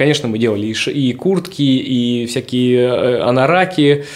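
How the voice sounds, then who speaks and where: A man has an unremarkable speaking voice at a medium pitch. He talks at a fairly slow pace with ordinary pitch variation. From Siberia (Novosibirsk). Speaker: streetwear brand founder and dancer. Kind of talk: casual interview. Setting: hotel suite studio.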